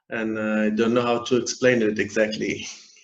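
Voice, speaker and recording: Audible room echo follows a man's voice. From Iran and Afghanistan. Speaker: refugee and aid worker. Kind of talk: interview. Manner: halting.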